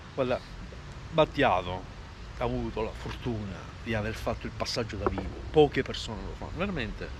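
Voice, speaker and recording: A man talking at a fairly quick pace, broken by long, frequent pauses. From Catania, Sicily. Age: 40s. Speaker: cancer patient, long-distance walker. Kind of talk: interview answer. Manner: calm.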